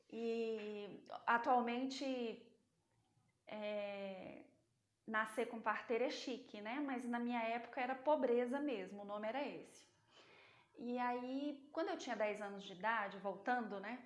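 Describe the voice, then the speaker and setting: With audible room echo, a woman with a strong Minas Gerais accent talks at a fairly slow pace with long, frequent pauses. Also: fairly high pitch for a woman, ordinary pitch variation. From Brazil, interior of Minas Gerais. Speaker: sales and business speaker. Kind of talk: motivational talk.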